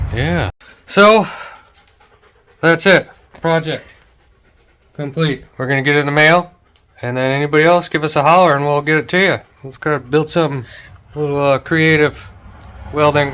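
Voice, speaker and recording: The voice has a bright, sharp tone but mumbles. Long, frequent pauses break it up. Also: man, fairly high pitch for a man, ordinary pitch variation, moderate pace. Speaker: garage channel host, father teaching son welding. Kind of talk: casual workshop chat. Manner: mumbling.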